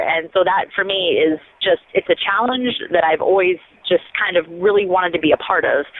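An ordinary speaking voice with an American accent moves along at a fairly quick pace. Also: woman. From rural US Midwest. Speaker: rocket scientist and YouTube host. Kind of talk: interview.

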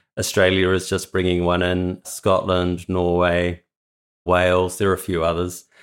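On a very clean recording with a silent background, a man with a New Zealand accent speaks at a very deep, low pitch in monotone, flat intonation. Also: moderate pace. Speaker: philosophy PhD student. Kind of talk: interview.

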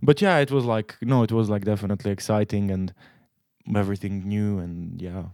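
With a Croatian accent, a man talks at a fairly quick pace in a fairly low pitch with ordinary pitch variation. His tone is dark and mellow, and the recording is very clean with a silent background. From Croatia, Split. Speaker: international student. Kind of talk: casual chat.

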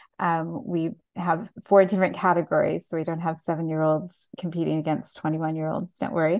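At a moderate pace, a woman with a fairly low pitch speaks in an unremarkable speaking voice with fairly even intonation. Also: hardly any pauses. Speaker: audio description gala host. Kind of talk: casual chat. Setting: video call.

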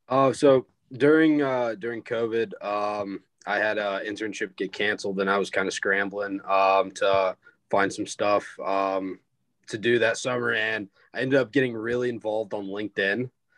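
In a plain, everyday voice with an American accent, a man speaks at a moderate pace with fairly even intonation, recorded dry and close with no echo. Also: fairly low pitch for a man, quiet background. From South Carolina, Greenville. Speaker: student peer career educator. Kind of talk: casual chat.

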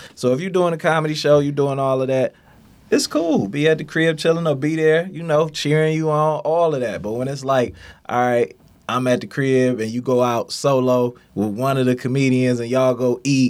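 A man with an American accent, an ordinary speaking voice, a fairly high pitch, ordinary pitch variation and a moderate pace. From Detroit. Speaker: clothing entrepreneur. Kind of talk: interview.

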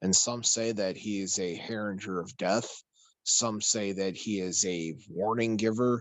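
A man with an American accent speaks in an unremarkable speaking voice, fairly low-pitched, at a fairly slow pace with fairly even intonation. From Chicago, US. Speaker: paranormal podcast host. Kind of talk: casual chat.

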